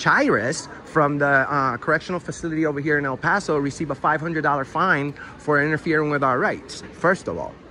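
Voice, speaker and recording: Over noticeable background noise, a man with a fairly high pitch talks at a fairly quick pace with hardly any pauses. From Puerto Rico. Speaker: citizen auditor, activist videographer. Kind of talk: heated debate. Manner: halting.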